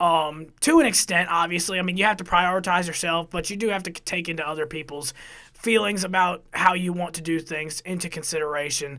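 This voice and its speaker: A man's high-pitched voice with a bright, sharp tone, fairly even intonation, big swings in loudness and a fairly quick pace, on a very clean recording with a silent background. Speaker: college radio production director. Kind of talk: casual podcast chat.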